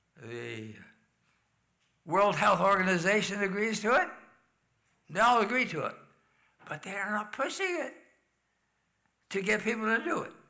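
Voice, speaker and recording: With lively intonation and long, frequent pauses, a man projects a raised voice at a high pitch. Audible room echo surrounds him. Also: moderate pace. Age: 80s+. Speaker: health lecturer. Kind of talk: health talk in church.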